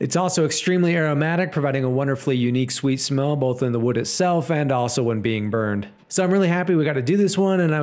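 With an American accent, a man with a medium pitch talks at a very fast pace in an upbeat tone, with hardly any pauses, very even loudness and ordinary pitch variation. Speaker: woodworker. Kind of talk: casual talk to camera.

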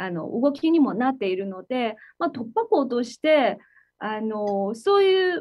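A woman in a Chinese accent, high-pitched with very wide pitch swings, at a fairly slow pace against a quiet background. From China. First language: Chinese (speaking Japanese). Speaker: tech company executive; guest. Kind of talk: interview. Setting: video call. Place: office. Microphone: video call.

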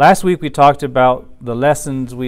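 A man talks at a fairly slow pace over a quiet background. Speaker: religious teacher. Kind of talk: lecture. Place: office. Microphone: lapel.

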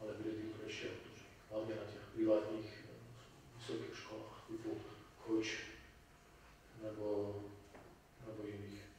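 Through strong room echo and light background noise, a man speaks at a fairly low pitch and moderate pace. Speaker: lecturer on history of the conflict. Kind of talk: lecture. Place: hall.

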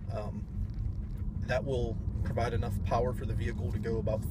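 A man speaks at a fairly quick pace in a dry space with no echo, though noticeable background noise is present. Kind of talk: casual vlog chat. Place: car. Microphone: phone near.

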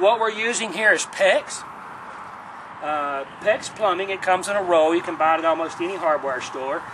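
With noticeable background noise, a man speaks at a moderate pace in a high voice. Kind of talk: tutorial. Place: garden.

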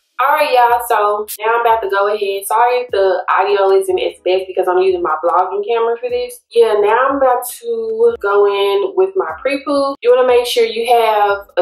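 The speech moves at a moderate pace with hardly any pauses. Audible room echo surrounds it. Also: woman. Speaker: hair care vlogger. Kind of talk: casual vlog chat, tutorial. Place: bathroom. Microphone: phone near.

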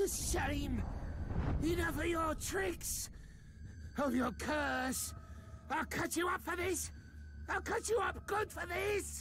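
A man does a put-on character voice at a very slow pace. Loud background noise fills the clip. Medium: dub. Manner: frantic, angry, shouting.

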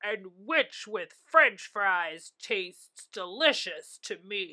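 A woman uses a put-on character voice at medium pitch with a bright, sharp tone. She speaks at a very slow pace with lively intonation.

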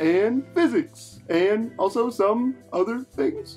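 A put-on character voice, fairly high in pitch and very slow, with clear music in the background. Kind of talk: comic overacting.

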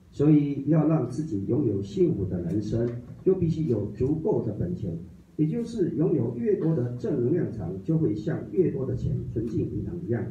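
A man with a dark, mellow tone and vocal fry, very wide pitch swings, moderate pace, and audible room echo. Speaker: study group reader. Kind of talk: reading aloud. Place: meeting room. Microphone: camera far.

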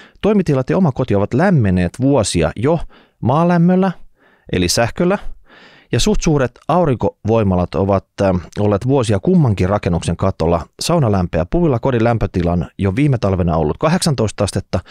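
Dark and mellow, this man's voice swings very widely in pitch at a moderate pace. The sound is dry with no echo, and the background is quiet. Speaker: podcast host. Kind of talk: reading a listener letter, then commentary. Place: studio. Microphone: studio mic.

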